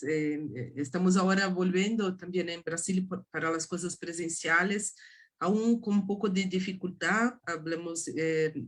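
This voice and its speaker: A woman with a Portuguese accent speaks fairly slowly in a fairly low, somewhat breathy voice with fairly even intonation. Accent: Portuguese-accented Spanish (portuñol). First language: Portuguese (speaking Spanish). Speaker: art history professor. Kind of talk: academic lecture. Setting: video call. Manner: halting, many hesitations.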